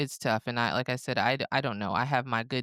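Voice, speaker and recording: A woman with a Southern US accent talks at a very fast pace with a very deep, low pitch and fairly even intonation. The sound is dry and close, with no echo. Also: very clean recording, silent background. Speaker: podcast co-host. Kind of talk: casual chat.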